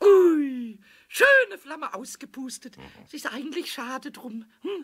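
At a fairly slow pace, a man uses a put-on character voice pitched extremely high. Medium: audio drama. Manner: excited, cheeky, stuttering.

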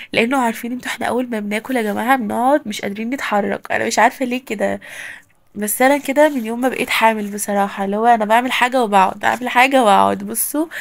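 A woman at a fairly high pitch and a very fast pace. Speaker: lifestyle vlogger. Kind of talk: home vlog narration. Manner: animated.

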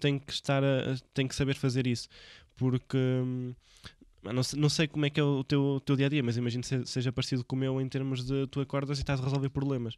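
A man speaks in a monotone with flat intonation. The background is quiet. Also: dry sound with no echo. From Portugal, Viseu; Portugal. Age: 20s. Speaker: podcast host. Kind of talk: casual interview. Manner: halting. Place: studio. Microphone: studio mic.

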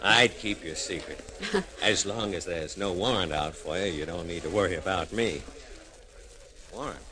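A man's very deep, low voice moves at a moderate pace with ordinary pitch variation while noticeable background noise is present. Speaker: actor playing a police officer. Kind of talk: radio drama dialogue. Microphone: old recording.

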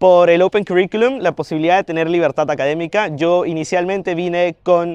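Over a quiet background, a man with a Peruvian accent talks at a fairly quick pace and a high pitch, his intonation fairly even and the sound dry and close with no echo. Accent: Peruvian Spanish (Lima). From Peru, Lima. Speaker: university student. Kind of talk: interview Q&A. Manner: hesitant fillers.

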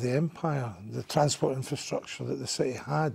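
A man talks at a moderate pace in a dark, mellow tone that is somewhat breathy. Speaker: council guest. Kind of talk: interview answer. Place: studio. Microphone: lapel.

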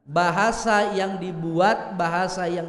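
A man talks at a very slow pace with ordinary pitch variation, and audible room echo surrounds his voice. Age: 30s. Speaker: Islamic preacher; preacher. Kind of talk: sermon. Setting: mosque hall with live audience. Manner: animated. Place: hall. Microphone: podium.

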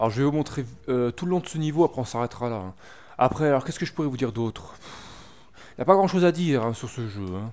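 On a very clean recording with a silent background, a man speaks at a very fast pace with lively intonation and long, frequent pauses. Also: medium pitch for a man. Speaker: gaming video maker. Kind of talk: gameplay commentary. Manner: hesitant, many fillers.

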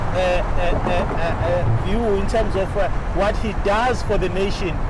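Loud background noise accompanies a dry sound with no echo. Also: man. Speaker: field news reporter. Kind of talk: live news commentary. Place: car.

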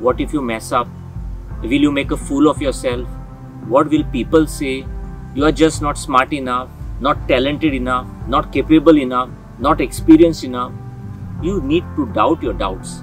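A man at a moderate pace with long, frequent pauses, faint music in the background and a dry sound with no echo. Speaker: motivational host. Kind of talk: motivational talk. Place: open country.

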